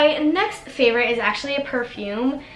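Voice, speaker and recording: Music plays in the background as a woman speaks at a fairly slow pace with ordinary pitch variation. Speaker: beauty vlogger. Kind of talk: casual talk to camera.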